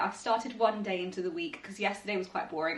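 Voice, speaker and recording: A woman with a British accent talks at a very fast pace in a medium pitch. Noticeable background noise runs behind her. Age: 20s. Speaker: vlogger and actuary. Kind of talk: vlog.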